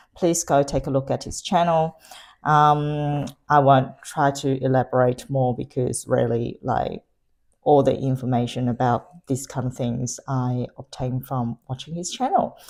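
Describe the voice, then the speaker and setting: Soft-spoken, a woman talks at a fairly slow pace in a very deep, low pitch with fairly even intonation. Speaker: beauty and luxury unboxing vlogger. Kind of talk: unboxing review. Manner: hesitant, many fillers. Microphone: new lapel microphone.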